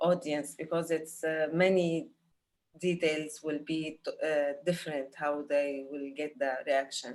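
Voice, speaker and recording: In an Arabic accent, a woman talks at a fairly slow pace in a flat monotone with a very deep, low pitch. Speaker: film director. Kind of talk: panel Q&A. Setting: video call. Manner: halting, many fillers.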